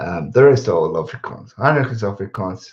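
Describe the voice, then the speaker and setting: Speaking at a moderate pace, a man uses a medium pitch and lively intonation. His voice is somewhat breathy. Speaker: YouTuber, rugby commentator. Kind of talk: live stream chat. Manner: mumbling; casual, rambling.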